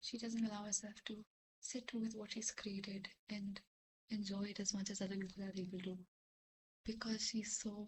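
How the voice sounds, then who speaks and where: A woman whispers at a moderate pace, her voice somewhat breathy. Long, frequent pauses break up her speech. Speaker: vlogger. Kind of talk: casual chat. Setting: at home at midnight. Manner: whispering.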